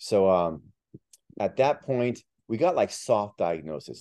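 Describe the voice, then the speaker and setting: A man's voice has a dark, mellow tone. His pitch rises and falls in an ordinary way. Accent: Miami. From Miami. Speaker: author and real estate agent. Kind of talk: casual interview.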